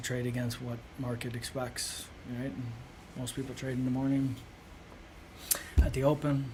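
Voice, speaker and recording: Audible room echo surrounds a man speaking at a medium pitch. His delivery is monotone and flat, at a moderate pace. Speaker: day trader streamer. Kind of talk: live trading commentary. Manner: soft-spoken; casual, filler-heavy.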